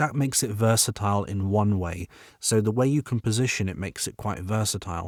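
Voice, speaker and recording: A man with a British accent speaks fairly quickly, his fairly low pitch moving in fairly even intonation. The sound is dry and close with no echo, on a very clean recording with a silent background. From Britain. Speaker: voiceover artist. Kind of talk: tutorial.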